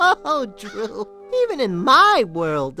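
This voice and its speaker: Over clear background music, a female-sounding voice performs a cartoonish character at a fairly high pitch. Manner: wisecracking.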